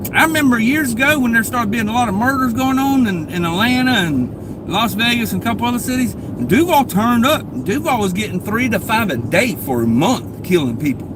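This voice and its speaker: A man with an extremely high pitch talks at a fairly quick pace in a northeast Florida accent, with audible room echo and noticeable background noise. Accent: Southern US, northeast Florida. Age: 40s. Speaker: live streamer. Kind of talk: casual live stream chat. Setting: in a car, driving. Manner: casual, rambling.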